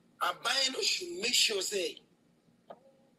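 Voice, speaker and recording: A woman at a fairly slow pace with very wide pitch swings, over noticeable background noise. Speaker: caller. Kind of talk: call-in opinion.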